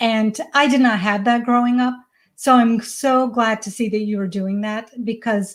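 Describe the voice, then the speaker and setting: At a moderate pace, a woman with a fairly high pitch sounds somewhat breathy, her intonation fairly even, in a very clean recording with a silent background. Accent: American. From US South, Georgia. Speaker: parenting coach. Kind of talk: interview.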